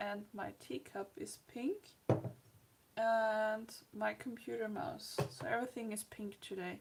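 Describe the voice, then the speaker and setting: Speaking at a fairly slow pace, a woman uses a fairly high, somewhat breathy voice with ordinary pitch variation. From Austria. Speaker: art livestreamer. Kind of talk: casual livestream chat with demonstration. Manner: soft-spoken, quiet.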